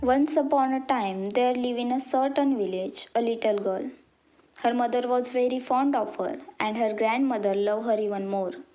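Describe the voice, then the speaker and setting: A woman's high-pitched voice with an Indian accent, at a moderate pace. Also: ordinary pitch variation. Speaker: college student. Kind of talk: children's story narration.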